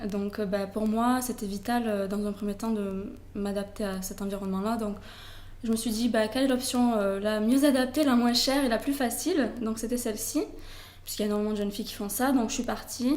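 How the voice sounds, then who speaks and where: A woman with a Toulouse accent speaks at a fairly quick pace in a fairly high voice, her intonation fairly even, with audible room echo. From southern France, Toulouse. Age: 20s. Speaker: blogger, expat. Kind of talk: interview. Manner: hesitant, many fillers.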